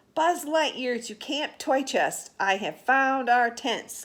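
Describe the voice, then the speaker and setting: A woman uses a put-on character voice, high in pitch and raised and projected. The recording is very clean, with a silent background. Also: fairly slow pace. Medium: read story.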